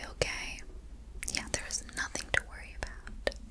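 A woman is whispering. She keeps a moderate pace. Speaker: camp hostess roleplay. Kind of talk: ASMR roleplay soft talk. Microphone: lapel.

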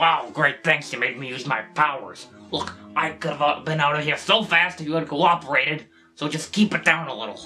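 Over faint music and clear background noise, a man puts on a cartoonish character voice at a fairly high pitch and a fairly quick pace. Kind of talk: scripted character dialogue. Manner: casual, wheedling, exasperated. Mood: exasperated.

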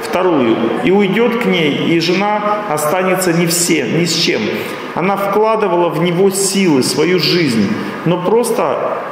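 A man with a high pitch talks at a fairly slow pace with ordinary pitch variation. Audible room echo and noticeable background noise surround him. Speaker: lecturer. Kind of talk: lecture. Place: hall. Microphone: podium.

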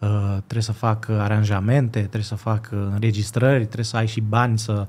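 At a moderate pace, a man talks in a somewhat breathy voice with a fairly low pitch. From Greece, Athens, Romanian parents; Greece. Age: 20s. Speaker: violinist and composer; guest. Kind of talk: casual interview. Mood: calm, reflective. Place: studio. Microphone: studio mic.

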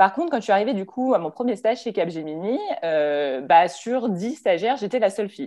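A woman with a dark, mellow tone talks at a fairly quick pace against a quiet background, her pitch swinging very widely. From France, Lyon; France. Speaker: engineer, strategic planning supervisor; panelist. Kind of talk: panel talk. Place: home room. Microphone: video call.

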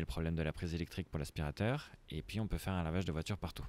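Very fast and very deep, a man's voice has a dark, mellow tone in a dry sound with no echo. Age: 20s. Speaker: startup founder. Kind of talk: interview. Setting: coworking space. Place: garden. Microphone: handheld.

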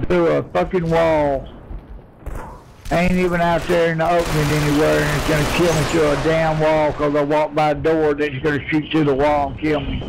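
Through noticeable background noise, a man with a Southern US accent talks at a fairly quick pace in a monotone, flat intonation. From Southern United States. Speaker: online game player. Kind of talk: casual in-game voice chat. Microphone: headset.

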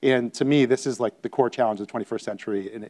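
Against a quiet background, a man speaks very fast with a dark, mellow tone and fairly even intonation. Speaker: physician and startup founder. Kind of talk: conference talk. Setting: stage with audience. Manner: hesitant, repeats words. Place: hall. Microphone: lapel.

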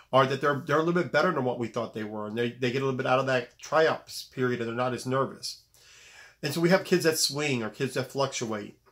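A man rattles along at a very fast pace, with only quiet in the background. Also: medium pitch for a man, ordinary pitch variation. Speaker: basketball coach. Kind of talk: video monologue. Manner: serious, direct tone; repetitive, halting. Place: home room. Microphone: phone near.

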